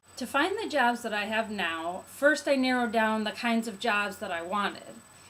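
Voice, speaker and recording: There is noticeable background noise as a woman speaks with an American accent. Her fairly high voice has lively intonation. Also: moderate pace. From US Midwest, Chicago. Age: 30s. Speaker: English teacher. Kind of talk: testimonial.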